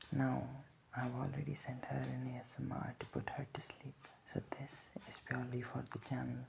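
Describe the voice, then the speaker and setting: Over noticeable background noise, a man talks in a soft-spoken way. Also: moderate pace. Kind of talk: casual ASMR intro talk to camera.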